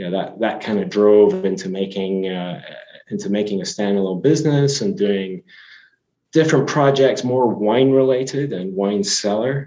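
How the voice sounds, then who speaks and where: With a slight Scottish accent, a man speaks at a moderate pace in a dark, mellow tone, his fairly low pitch showing ordinary variation. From Scotland. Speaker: company CEO. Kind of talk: podcast interview. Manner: hesitant, many fillers and restarts.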